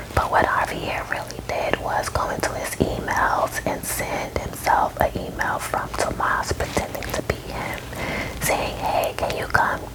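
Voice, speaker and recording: A woman whispers at a fairly slow pace. Noticeable background noise runs beneath her. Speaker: ASMR storyteller. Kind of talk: ASMR movie recap ramble. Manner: whispered.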